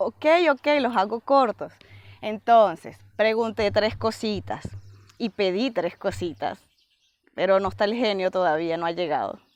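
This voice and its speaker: A woman at medium pitch talks at a fairly slow pace with long, frequent pauses and ordinary pitch variation, recorded with a dry, close sound and no echo. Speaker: vlogger. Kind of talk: casual vlog.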